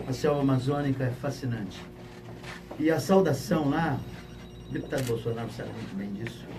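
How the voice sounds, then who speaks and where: Room echo is audible, along with noticeable background noise. The delivery has a moderate pace and ordinary pitch variation. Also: man. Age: 60s. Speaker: pastor and retired army officer. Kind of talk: public question to panel.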